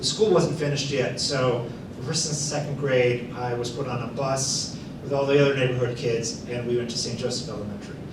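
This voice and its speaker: A man's medium-pitched voice at a fairly quick pace, fairly even intonation, audible room echo and noticeable background noise. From US Midwest, Hammond, northwest Indiana. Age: 60s. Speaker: artist and illustrator. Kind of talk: talk to an audience.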